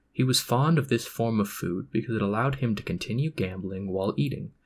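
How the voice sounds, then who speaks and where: Somewhat breathy and at a moderate pace, a man speaks at a medium pitch with lively intonation on a very clean recording with a silent background. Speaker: ASMR reader. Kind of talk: Wikipedia article reading. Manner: amateurish.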